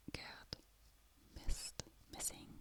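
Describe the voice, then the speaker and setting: The voice is whispering. Its pace is very slow. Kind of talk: ASMR book review. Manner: whispered.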